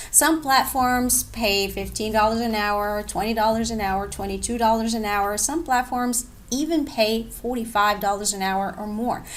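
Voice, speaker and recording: A woman speaks at a moderate pace with hardly any pauses. Room echo is audible around her voice. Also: fairly high pitch for a woman, ordinary pitch variation. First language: not English. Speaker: online English teacher and blogger. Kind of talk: tutorial. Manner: casual, conversational.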